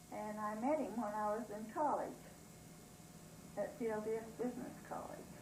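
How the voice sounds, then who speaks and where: Moderate-paced speech with long, frequent pauses, noticeable background noise and audible room echo. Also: woman, fairly high pitch for a woman. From southeastern Idaho. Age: 70s. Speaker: former town resident. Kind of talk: interview. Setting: at home.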